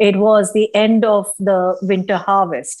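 Speaking at a moderate pace, a woman uses a medium pitch and an Indian accent. The recording is very clean, with a silent background. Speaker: tour company director. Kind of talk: interview.

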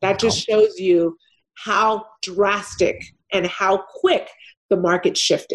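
A woman speaks in a Californian accent. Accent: Californian American English. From Los Angeles, California. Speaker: real estate investor. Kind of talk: interview.

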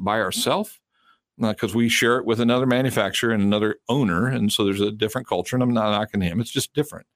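A man speaks at a very fast pace with an American accent and fairly even intonation. The sound is dry and close, with no echo. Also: very clean recording, silent background. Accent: Southern accent, remarked on by co-host. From South Carolina. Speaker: car dealership representative and co-host. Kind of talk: casual chat.

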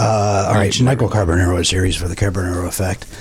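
A man's raspy, put-on character voice, very deep and low in pitch, with fairly even intonation, a very fast pace and light background noise. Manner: announcing a guest.

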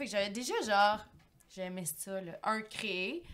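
A woman at a medium pitch and fairly slow pace, an ordinary speaking voice. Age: 30s. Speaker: fashion entrepreneur. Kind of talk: casual chat.

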